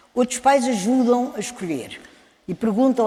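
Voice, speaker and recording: A woman's voice over noticeable background noise. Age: 70s. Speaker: children's book author. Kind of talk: panel talk.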